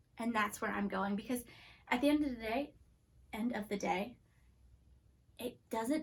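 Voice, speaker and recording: Animated in tone, a woman speaks in a fairly high voice with vocal fry and long, frequent pauses. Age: 30s. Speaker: children's ministry teacher. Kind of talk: children's church lesson. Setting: filmed video lesson. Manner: fast; casual and animated.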